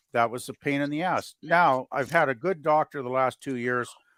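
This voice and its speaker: A man with a Canadian accent and an unremarkable speaking voice, pitched fairly high with ordinary variation. He talks at a moderate pace in a dry, close sound with no echo. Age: 60s. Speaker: panel regular on live stream. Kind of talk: casual chat.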